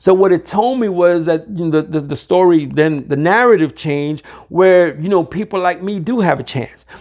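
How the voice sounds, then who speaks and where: Speaking with a New York accent, this man has a high pitch. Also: ordinary pitch variation, moderate pace. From Harlem, New York. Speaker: recovery community leader. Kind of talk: interview answer. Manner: casual, halting.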